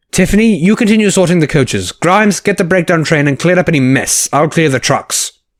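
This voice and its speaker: A man uses a put-on character voice, pitched high and moving at a fairly quick pace with hardly any pauses. The recording is very clean, with a silent background. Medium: audio drama.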